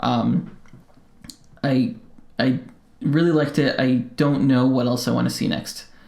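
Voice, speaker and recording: Mumbling, a man with an American accent speaks at a fairly slow pace with long, frequent pauses. Audible room echo surrounds his voice. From Colorado, US. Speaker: podcast co-host. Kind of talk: casual chat. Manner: halting, many fillers.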